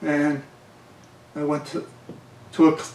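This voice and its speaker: A man with a Boston accent and a fairly high pitch. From Massachusetts, Somerville (Boston area). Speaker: navy veteran. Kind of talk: oral history interview. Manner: halting.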